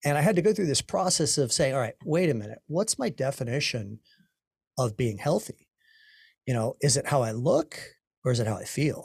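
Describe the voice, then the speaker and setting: A man speaks at a fairly quick pace with lively intonation and long, frequent pauses, his voice fairly high and somewhat breathy. The recording is very clean with a silent background and a dry, close sound with no echo. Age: 50s. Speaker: podcast host, mortgage coach. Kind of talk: interview.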